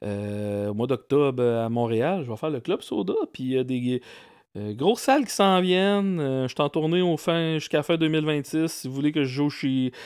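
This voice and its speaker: A man in a Quebec accent, fairly high-pitched, with lively intonation at a moderate pace. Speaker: comedian. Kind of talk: casual chat.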